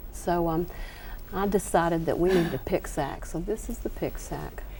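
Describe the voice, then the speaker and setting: A woman speaks with a Southern US accent in a dark, mellow tone. Her pitch is fairly low and her intonation fairly even. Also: moderate pace. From US South. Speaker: quilting author. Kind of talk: TV craft demonstration. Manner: hesitant, many fillers.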